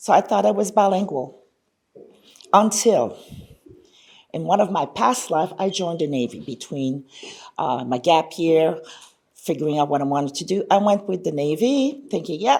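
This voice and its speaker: In a Quebec accent, a woman with fairly low pitch speaks with very wide pitch swings and long, frequent pauses. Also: moderate pace. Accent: Canadian French-accented English. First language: French. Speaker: conference speaker, language education researcher. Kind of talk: conference presentation.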